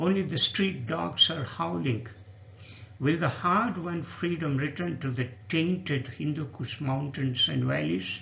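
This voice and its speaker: With lively intonation, a man talks in a fairly high pitch. Vocal fry runs through his voice. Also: fairly slow pace. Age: 60s. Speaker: poet. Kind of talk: poetry reading.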